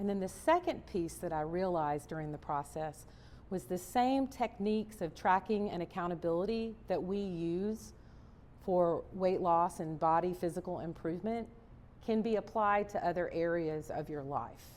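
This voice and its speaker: Speaking with a Southern US accent, a woman talks at a moderate pace and medium pitch, with ordinary pitch variation. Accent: Southern American. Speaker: chef, cookbook author and motivational speaker. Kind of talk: motivational keynote speech. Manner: upbeat, animated, storytelling.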